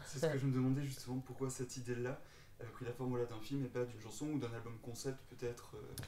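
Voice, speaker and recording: A man with a slight southwestern French accent speaks very fast in a medium pitch, his intonation monotone and flat, with noticeable background noise. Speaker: podcast host, interviewer. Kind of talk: interview.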